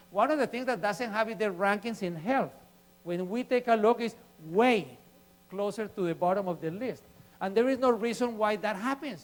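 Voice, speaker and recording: A man with a high voice speaks at a moderate pace in an animated tone, his pitch varying in an ordinary way. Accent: non-native. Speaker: urban planning advocate, guest speaker. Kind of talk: public lecture.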